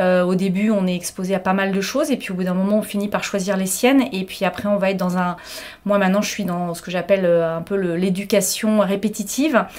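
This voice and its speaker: Over noticeable background noise, a woman at medium pitch talks at a fairly quick pace. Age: 50s. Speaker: hotel director. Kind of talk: interview testimony. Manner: energetic.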